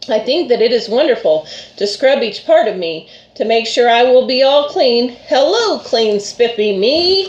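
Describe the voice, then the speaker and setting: A woman speaks in a put-on character voice. Her pitch is high. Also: moderate pace. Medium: read story. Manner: earnest, polite.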